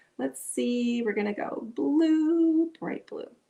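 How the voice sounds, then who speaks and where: This woman speaks with a Minnesotan accent. Her tone is dark and mellow. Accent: Minnesota. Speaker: art instructor. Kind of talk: tutorial. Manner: casual, chatty.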